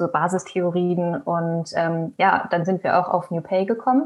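An unremarkable speaking voice, its intonation fairly even. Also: woman. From Germany, Hesse (near Frankfurt). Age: 20s. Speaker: recent graduate, researcher. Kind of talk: podcast interview at live event.

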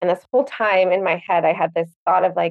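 A woman has a normal speaking voice. Her pitch is fairly low and her intonation fairly even. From Winnipeg, Canada. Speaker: boutique owner. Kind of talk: casual interview chat.

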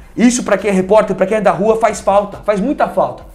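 Against noticeable background noise, someone talks at a fairly quick pace. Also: man. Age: 20s. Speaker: former TV sports reporter. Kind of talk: casual interview. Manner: halting, repetitive.

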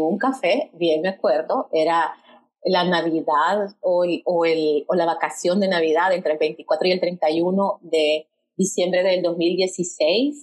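At a very slow pace, a woman talks at a medium pitch. Her loudness stays very even. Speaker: podcast co-host, storytelling trainer. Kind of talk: casual conversational storytelling.

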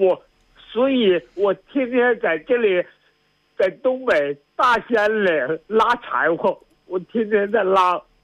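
The voice moves at a very slow pace with lively intonation. Its loudness is very even, and the sound is dry and close with no echo. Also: man, high pitch for a man. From Northeast China. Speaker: radio show caller. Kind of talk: phone-in conversation. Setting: phone call. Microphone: line dropping out.

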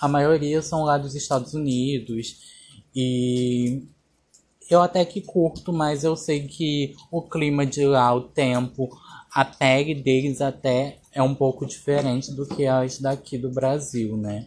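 Somewhat breathy and fairly high in pitch, a man talks at a very slow pace with fairly even intonation. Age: 20s. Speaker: podcast host and makeup artist. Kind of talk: casual solo podcast monologue.

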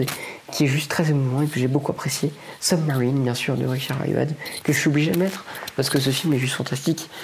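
A man with a fairly high voice speaks very fast, noticeable background noise behind him. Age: 20s. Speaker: podcaster. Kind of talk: solo casual talk. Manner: halting.

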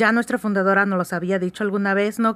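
A woman with a plain, everyday voice, medium-pitched and fairly even in intonation, at a moderate pace, the sound dry and close with no echo. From Oaxaca, Mexico. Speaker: lawyer and writers' group board member. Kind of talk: radio interview.

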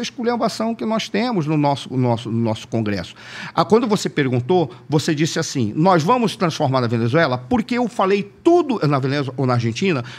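Swinging very widely in pitch, a man talks in a fairly high voice. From Manaus, Brazil. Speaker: political analyst. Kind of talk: casual interview.

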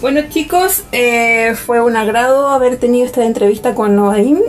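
Over noticeable background noise, a woman with a Chilean accent speaks at a moderate pace in a fairly high voice with ordinary pitch variation. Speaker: podcast host. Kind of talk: interview.

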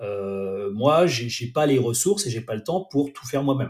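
Heard in a very clean recording with a silent background, a man's medium-pitched voice has a dark, mellow tone, somewhat breathy, at a moderate pace. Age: 40s. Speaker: director of innovation at a training company. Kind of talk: casual interview. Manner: hesitant, many fillers.

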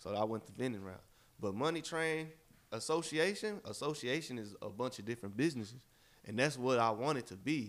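A man speaks in an unremarkable speaking voice with a medium pitch. His pace is fairly quick and his intonation lively. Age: 20s. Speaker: podcast co-host, entrepreneur. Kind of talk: casual chat.

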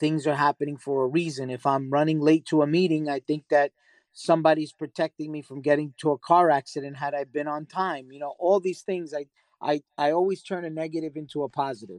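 Against a quiet background with a dry, close sound and no echo, a man uses a plain, everyday voice, fairly high in pitch, with fairly even intonation, big swings in loudness and a fairly quick pace. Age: 40s. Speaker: real estate investor and author. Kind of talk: interview.

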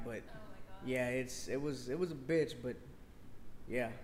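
A man speaks at a moderate pace, and room echo is audible. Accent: American. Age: 30s. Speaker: streetwear brand owner. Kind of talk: casual interview.

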